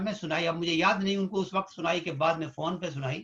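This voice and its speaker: A man speaks with fairly even intonation. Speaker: physician and poet. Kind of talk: interview.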